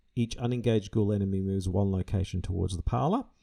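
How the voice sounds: Natural voice, reading aloud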